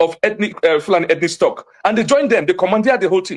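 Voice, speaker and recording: The speaker is a man with a high voice. He talks with a Nigerian accent. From Nigeria, Jos (Plateau State). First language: Hausa. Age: young. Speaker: community witness / activist. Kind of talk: TV interview. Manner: animated, emphatic.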